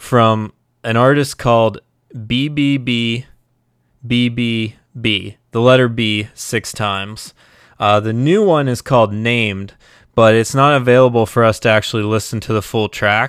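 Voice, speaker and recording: Set against a very clean recording with a silent background, a plain, everyday voice moves at a fairly slow pace with fairly even intonation. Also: man. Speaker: music podcaster and Twitch streamer. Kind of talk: casual live stream chat. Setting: live Twitch stream, home setup. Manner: casual, rambling, with filler words.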